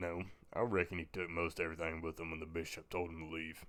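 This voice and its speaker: A man does a put-on character voice, raspy and very deep. He rattles along at a very fast pace in a flat, monotone delivery. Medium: read story. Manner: blunt, laconic.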